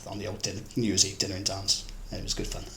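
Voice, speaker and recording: Fairly quick, flat monotone speech from a man over noticeable background noise. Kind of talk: oral history interview answer.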